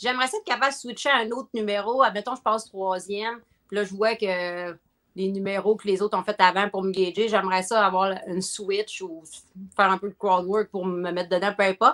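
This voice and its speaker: This woman talks fairly quickly at a medium pitch. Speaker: comedian and corporate event host. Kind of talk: casual chat. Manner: energetic.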